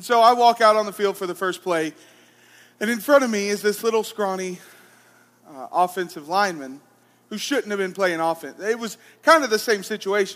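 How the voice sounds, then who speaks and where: Speaking with an Alabama accent, a man with a high pitch shows ordinary pitch variation, long, frequent pauses and big swings in loudness. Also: fairly quick pace. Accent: Southern US (Alabama). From US South, Alabama. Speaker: pastor. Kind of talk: sermon.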